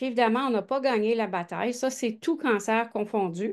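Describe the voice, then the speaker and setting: A woman speaks in a Quebec accent at a moderate pace, her pitch fairly high. Her intonation is lively, and the background is quiet. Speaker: gynecologic oncologist and researcher. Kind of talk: research presentation. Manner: animated.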